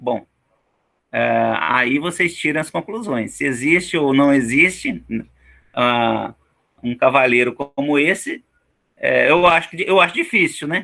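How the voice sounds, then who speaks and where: Long pauses come often as a man talks fairly slowly. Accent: Brazilian. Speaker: teacher. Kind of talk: online lecture. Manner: casual, many fillers.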